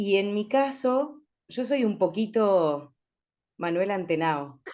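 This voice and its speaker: A woman talks at a very slow pace and a medium pitch with lively intonation. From rural Chubut, Patagonia, Argentina. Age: 40s. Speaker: radio announcer. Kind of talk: panel discussion.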